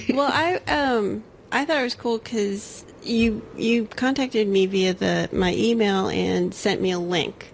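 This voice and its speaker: In a normal speaking voice, a woman talks at a fairly slow pace and medium pitch, with ordinary pitch variation, very even loudness and hardly any pauses. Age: 40s. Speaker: podcast host. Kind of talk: casual chat.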